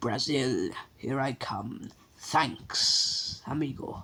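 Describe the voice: At a very slow pace, a man puts on a character voice pitched in the medium range.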